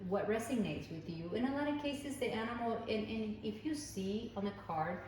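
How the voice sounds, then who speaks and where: A woman with a non-native accent speaks at a moderate pace and a fairly high pitch, with ordinary pitch variation. Room echo is audible, and background noise is noticeable. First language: not English. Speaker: tarot reader. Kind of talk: tarot reading. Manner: halting.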